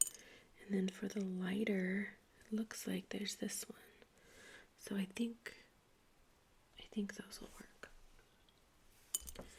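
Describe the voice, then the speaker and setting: A soft-spoken woman is whispering at a very slow pace. Her speech has long, frequent pauses. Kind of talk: ASMR craft video, soft-spoken talk to camera. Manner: soft-spoken, whispered, relaxing.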